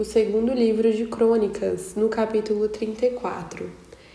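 Audible room echo follows this woman, whose voice is fairly high in pitch. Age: 20s. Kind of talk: Bible study monologue.

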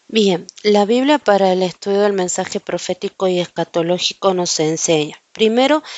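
At a fairly slow pace, a woman with medium pitch has an unremarkable speaking voice. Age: 40s. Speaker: Bible teacher. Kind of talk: Bible study.

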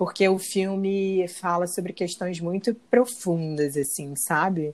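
Over a very clean recording with a silent background, a woman with an unremarkable speaking voice talks at a fairly slow pace, her medium pitch fairly even in intonation. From Rio de Janeiro, Brazil. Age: 30s. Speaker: actress. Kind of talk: casual chat.

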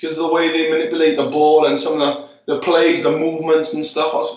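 A man speaks with a fairly high pitch. The room echo is audible. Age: 20s. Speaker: futsal player. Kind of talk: casual interview. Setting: sitting in an ice bath.

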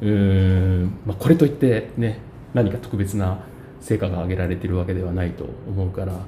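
A man speaks at a fairly quick pace in a fairly low pitch, with audible room echo and noticeable background noise. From Japan, Ueda, Nagano. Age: 40s. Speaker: city councillor. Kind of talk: casual chat. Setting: cafe.

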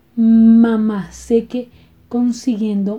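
Her dark, mellow tone sits at a fairly high pitch as the woman speaks at a very slow pace. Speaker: podcast host, stuttering advocate. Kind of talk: personal storytelling monologue. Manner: halting.

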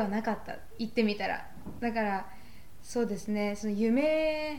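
Audible room echo and noticeable background noise fill the recording. Pitch variation is ordinary. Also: woman. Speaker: podcast co-host, university student. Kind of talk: casual chat.

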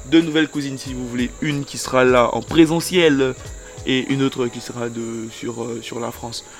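A man talks at a moderate pace with a medium pitch. Music plays in the background. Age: young. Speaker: podcast host. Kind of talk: casual chat. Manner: animated.

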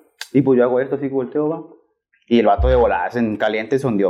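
A man's medium-pitched voice at a very fast pace with lively intonation. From Tamaulipas, Mexico. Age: young. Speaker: ride-hailing driver. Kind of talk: casual chat.

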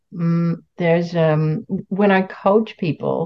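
This woman has an unremarkable speaking voice, fairly low in pitch, with fairly even intonation. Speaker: podcast host and coach. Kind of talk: casual podcast conversation.

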